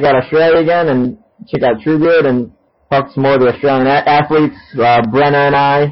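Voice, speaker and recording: This is an unremarkable speaking voice at a moderate pace with fairly even intonation. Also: man. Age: 30s. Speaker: podcast host. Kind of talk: casual interview. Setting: remote call. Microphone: recorded through laptop built-in mic, sounds poor.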